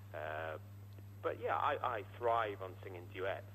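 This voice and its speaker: The room echo is audible. A man talks at a fairly low pitch. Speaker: singer. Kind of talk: radio interview. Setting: phone call. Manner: halting.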